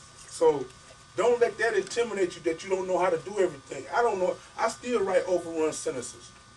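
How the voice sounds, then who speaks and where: A man speaks at a high pitch with an animated tone and ordinary pitch variation. His pace is fairly quick, with noticeable background noise behind him. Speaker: author giving a publishing workshop. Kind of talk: workshop talk to an audience. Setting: bookstore event with audience. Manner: fast.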